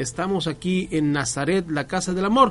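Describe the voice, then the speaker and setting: A man talks fairly slowly. He uses lively intonation. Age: 40s. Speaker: radio host. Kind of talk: casual chat. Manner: halting.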